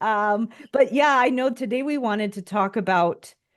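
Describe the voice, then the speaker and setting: The speaker has a Midwestern accent and ordinary pitch variation. The pace is fairly slow. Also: woman, quiet background. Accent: Midwest US. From US Midwest. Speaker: podcast host. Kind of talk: podcast interview. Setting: call.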